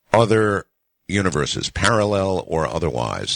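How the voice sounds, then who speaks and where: A man is speaking. His pace is very slow. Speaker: radio talk show host. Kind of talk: late-night radio show hosting. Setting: radio broadcast.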